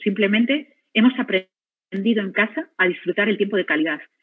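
A woman with a Spanish accent, medium pitch and ordinary pitch variation. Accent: Spanish (Spain). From Spain. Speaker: physician, radiotherapy head. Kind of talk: personal testimony talk.

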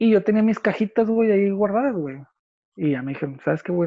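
A man with a Mexican accent speaks in a dark, mellow tone with ordinary pitch variation. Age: 30s. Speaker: person living with psoriasis. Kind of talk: casual chat.

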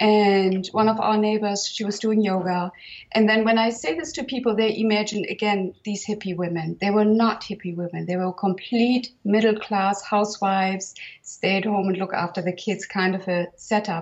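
With a German accent, a woman speaks at a moderate pace. Her pitch is medium and her intonation fairly even. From northern Germany. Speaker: herbalist and healer. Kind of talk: interview conversation.

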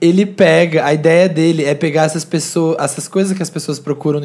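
Fairly quick and fairly high-pitched, a man speaks over noticeable background noise. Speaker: YouTuber. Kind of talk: casual chat.

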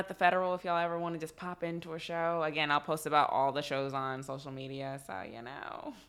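Speaking very fast, a woman with an American accent has a fairly low pitch. Her intonation is lively. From Texas. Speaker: dancer and comedian. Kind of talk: casual chat.

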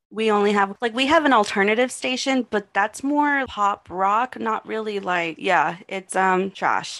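A woman speaks in a normal speaking voice with an American accent, at medium pitch with ordinary pitch variation. Her pace is fairly slow, with hardly any pauses. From Texas. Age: 20s. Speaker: podcast host. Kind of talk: casual chat; scripted narration.

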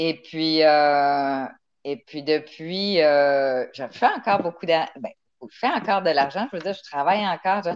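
A woman's very deep, low voice at a fairly slow pace, with ordinary pitch variation and big swings in loudness. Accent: Quebec. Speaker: engineer and humanitarian. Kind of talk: interview.

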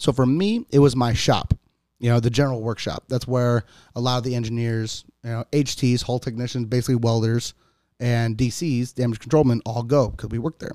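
In an American accent, a man speaks at a medium pitch with a dark, mellow tone and fairly even intonation, the sound dry and close with no echo. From US Midwest, Cleveland, Ohio. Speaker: enlisted navy sailor. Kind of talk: casual chat.

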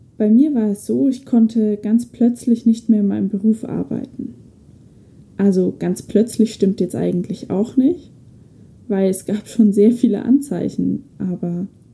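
A somewhat breathy, dark, mellow tone with ordinary pitch variation at a fairly slow pace. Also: woman, fairly high pitch for a woman. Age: 20s. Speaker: podcast host. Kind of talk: personal monologue.

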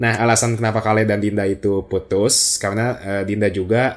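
The intonation is monotone and flat. It is a very clean recording with a silent background. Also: man. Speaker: podcast host. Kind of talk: casual chat.

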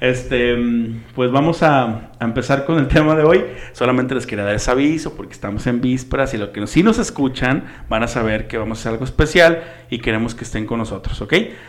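A man with a plain, everyday voice, medium pitch, ordinary pitch variation and a fairly quick pace. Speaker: podcast co-host. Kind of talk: casual chat.

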